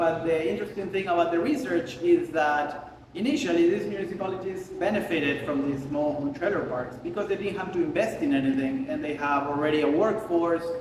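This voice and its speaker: Amid noticeable background noise and audible room echo, a high-pitched man with an Argentinian accent speaks at a fairly quick pace with ordinary pitch variation and hardly any pauses. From Argentina. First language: Spanish. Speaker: photographer. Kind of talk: casual interview during a studio visit. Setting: artist studio. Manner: speaking louder over the air conditioning.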